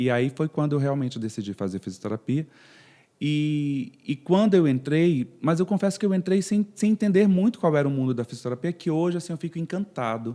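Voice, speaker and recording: In a northern Brazilian accent, a man speaks at a fairly quick pace with a dark, mellow tone, a fairly high pitch and very wide pitch swings, recorded very cleanly against a silent background. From northern Brazil, Pará (Castanhal/Belém). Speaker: physiotherapist. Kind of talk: podcast interview.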